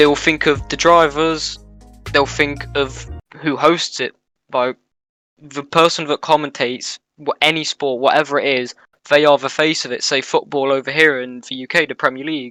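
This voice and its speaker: With music in the background, a man with a British accent speaks in a fairly high pitch and monotone, flat intonation, the sound dry and close with no echo. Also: moderate pace. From UK. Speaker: esports commentator. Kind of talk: casual interview.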